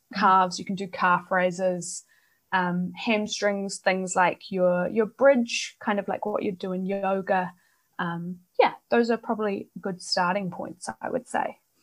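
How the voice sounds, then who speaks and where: Speaking with a New Zealand accent at a fairly slow pace, a woman keeps a medium pitch and fairly even intonation. The recording is very clean, with a silent background. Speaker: belly dancer and exercise scientist. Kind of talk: interview.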